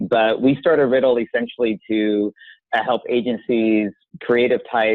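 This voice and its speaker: In an American accent, a man with an unremarkable speaking voice and a medium pitch talks at a moderate pace. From United States. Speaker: software company representative. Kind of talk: interview.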